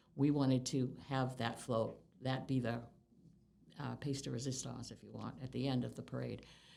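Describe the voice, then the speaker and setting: With an American accent, a woman talks at a moderate pace with long, frequent pauses, and audible room echo surrounds her voice. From Massachusetts, US. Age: 70s. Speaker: longtime local resident. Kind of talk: oral history interview. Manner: halting.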